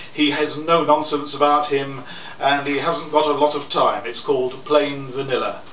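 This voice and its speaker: This man's voice sits fairly high, moving at a moderate speed with noticeable noise in the background. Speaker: poet. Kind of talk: introducing poems to a live audience. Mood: wry, good-humoured. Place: cafe.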